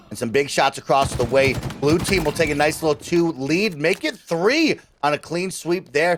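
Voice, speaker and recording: Noticeable background noise sits behind a man speaking at a moderate pace. His voice is fairly high, with ordinary pitch variation. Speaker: esports shoutcaster. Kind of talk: esports shoutcast commentary.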